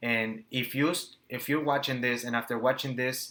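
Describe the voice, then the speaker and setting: A man of medium pitch speaks with a Spanish accent. His tone is bright and sharp, with fairly even intonation. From Nicaragua. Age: 20s. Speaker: entrepreneur and business coach. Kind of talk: motivational talk to camera. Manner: halting, stumbles over words.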